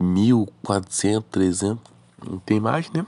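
A Brazilian accent with ordinary pitch variation. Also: man. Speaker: gaming YouTuber. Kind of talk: gameplay commentary. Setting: recorded voice-over narrated after the match. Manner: casual, slangy.

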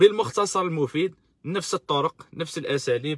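Against a quiet background, a man speaks at a moderate pace in a dry sound with no echo. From Algeria. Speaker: political activist live-streamer. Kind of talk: live-stream political commentary. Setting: live stream on social media. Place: car. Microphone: phone near.

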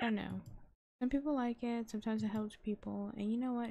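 A woman is speaking. She whispers. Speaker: gaming youtuber. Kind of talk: gameplay commentary. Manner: whispering.

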